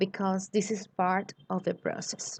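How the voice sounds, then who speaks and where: In a Colombian accent, a woman at medium pitch speaks at a very slow pace. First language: Spanish. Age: 20s. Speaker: graduate student. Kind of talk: recorded class presentation.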